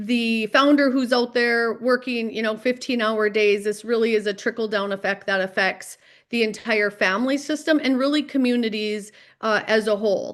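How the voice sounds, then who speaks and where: Speaking at a moderate pace in a North Dakota accent, a woman holds a fairly high pitch with fairly even intonation and very even loudness. The recording is very clean, the background silent. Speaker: mental health professional. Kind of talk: podcast interview.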